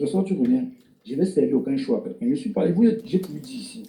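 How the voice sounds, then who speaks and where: A dark, mellow tone with very wide pitch swings at a moderate pace. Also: man. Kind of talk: live stream chat. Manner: soft-spoken.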